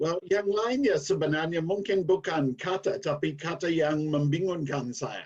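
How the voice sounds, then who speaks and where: With an English accent, a high-pitched man speaks at a fairly slow pace, with hardly any pauses and ordinary pitch variation. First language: English (speaking Indonesian). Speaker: former Indonesian language student, guest. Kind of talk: casual interview chat.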